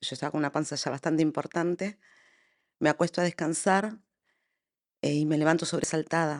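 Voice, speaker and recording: A woman with a very deep, low pitch, fairly even intonation and a fairly quick pace broken by long, frequent pauses, recorded dry and close with no echo against a quiet background. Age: 50s. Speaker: bereaved mother. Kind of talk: testimony.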